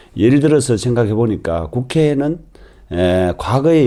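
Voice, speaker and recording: A man speaks at a moderate pace with a fairly low pitch and a dark, mellow tone, his pitch swinging very widely. The recording is very clean, with a silent background. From Yeongcheon, North Gyeongsang, South Korea. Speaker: parliamentary candidate, former civil servant. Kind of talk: political candidate interview.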